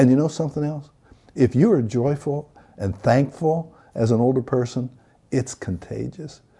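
A man with an American accent speaks at a moderate pace in a medium pitch, his dark, mellow tone somewhat breathy and his pitch varying in an ordinary way. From northwestern Pennsylvania, rural. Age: 70s. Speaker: retired pastor. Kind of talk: interview.

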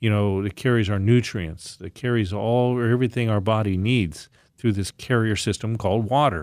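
This man has a normal speaking voice, fairly low in pitch, with ordinary pitch variation. He talks at a moderate pace in a very clean recording with a silent background. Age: 60s. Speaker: naturopathic doctor and natural products maker. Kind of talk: casual chat.

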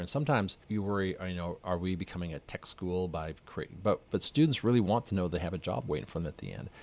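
On a very clean recording with a silent background, a man with a Canadian accent talks at a very fast pace. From Western Canada, north of Edmonton, Alberta. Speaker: university president. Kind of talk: interview.

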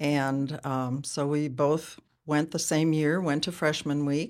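In a very clean recording with a silent background, a woman with an American accent speaks very slowly at a very deep, low pitch with fairly even intonation. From Wisconsin, US Upper Midwest. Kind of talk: casual interview.

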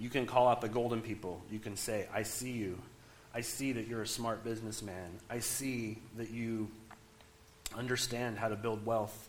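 Moderate-paced speech from a man at medium pitch, monotone and flat, in audible room echo. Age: 40s. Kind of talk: sermon.

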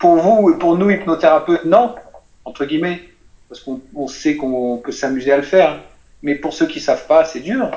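The speech runs at a moderate pace with ordinary pitch variation, big swings in loudness and long, frequent pauses, over noticeable background noise. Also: man, high pitch for a man. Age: 50s. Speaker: voice and public speaking trainer. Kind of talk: casual interview.

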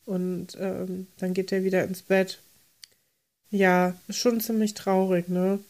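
Speaking at a very slow pace with long, frequent pauses, a woman keeps a medium pitch. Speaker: podcast co-host. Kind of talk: casual chat. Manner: exaggerated energetic.

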